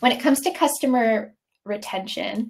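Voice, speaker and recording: A woman is speaking. Her intonation is lively. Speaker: software product demo presenter. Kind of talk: live webinar product demo. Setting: live webinar with screen share. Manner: casual, many filler ums; fairly quick pace.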